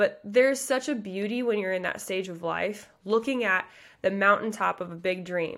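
A woman talks with an American accent at a medium pitch, fairly quickly and in an animated way, her tone bright and sharp. Her pitch varies in an ordinary way, and the recording is very clean with a silent background. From US Midwest, Nebraska. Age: 30s. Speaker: pageant coach. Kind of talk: motivational talk.

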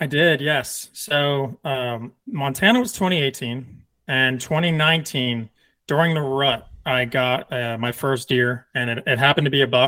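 A man with a plain, everyday voice, an American accent, medium pitch and ordinary pitch variation. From US Northeast. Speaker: Marine veteran and hunter. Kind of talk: casual interview.

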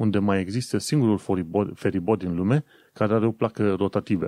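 At a moderate pace, a man with a fairly low pitch and a dark, mellow tone speaks in a dry, close sound with no echo and a quiet background. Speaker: podcast host. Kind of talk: solo podcast monologue.

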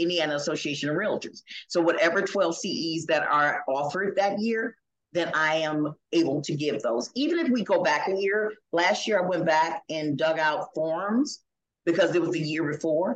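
This is a woman with an ordinary speaking voice, fairly low in pitch. She moves at a moderate pace with ordinary pitch variation. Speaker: realtor and real estate instructor. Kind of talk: casual interview.

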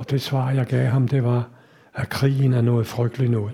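A man talks in a somewhat breathy voice. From Denmark, Copenhagen. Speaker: Holocaust survivor. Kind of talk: lecture. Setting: stage with audience.

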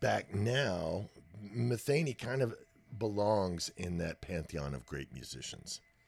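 In an American accent, a man speaks at a fairly slow pace with a very deep, low pitch and vocal fry. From Texas. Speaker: professional drummer. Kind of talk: casual interview about music.

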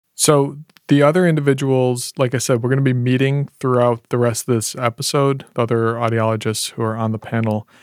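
A man speaks fairly quickly at a medium pitch, in an unremarkable speaking voice with fairly even intonation. The recording is very clean, with a silent background. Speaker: audiologist and podcast host. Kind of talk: casual chat.

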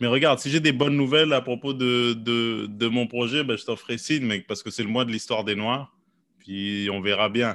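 Speaking at a moderate pace, a man with a medium pitch has a plain, everyday voice. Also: fairly even intonation. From Quebec, Montreal. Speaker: podcast host and comedian. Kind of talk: casual chat.

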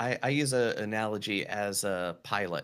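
On a very clean recording with a silent background, a man with an American accent speaks in a bright, sharp tone with lively intonation. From North Carolina mountains, US. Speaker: podcast coach and performer. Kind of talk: casual interview chat.

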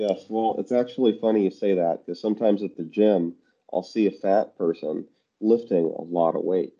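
Using a normal speaking voice, a man talks at a moderate pace in a fairly low pitch, with fairly even intonation and big swings in loudness. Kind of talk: casual chat. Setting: phone call.

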